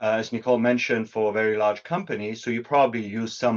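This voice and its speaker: A man with a German accent speaks fairly quickly at a fairly low pitch, his intonation fairly even against a quiet background. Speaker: product executive. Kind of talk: webinar presentation.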